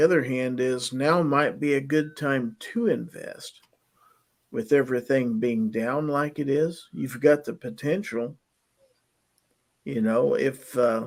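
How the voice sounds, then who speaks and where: This is a normal speaking voice from a man, pitched fairly high. He talks at a fairly slow pace with lively intonation. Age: 60s. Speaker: livestream chat host. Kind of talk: casual chat.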